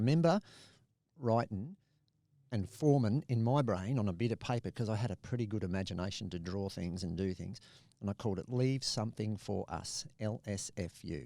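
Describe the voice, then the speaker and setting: A man with an Australian accent speaks at a fairly quick pace, his fairly low voice dark and mellow in tone, with ordinary pitch variation. The recording is very clean, with a silent background. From Australia, Adelaide and Bundaberg. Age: 60s. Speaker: conservationist and pilot. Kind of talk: podcast interview.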